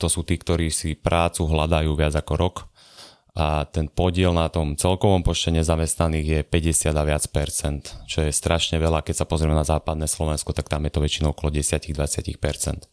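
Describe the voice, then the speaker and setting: A man speaks with a very deep, low pitch and a monotone, flat intonation at a moderate pace. His loudness is very even, and the recording is very clean, with a silent background and a dry, close sound with no echo. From Gemer region, Slovakia (near Rožňava). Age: 20s. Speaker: economics podcaster and video maker. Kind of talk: casual chat.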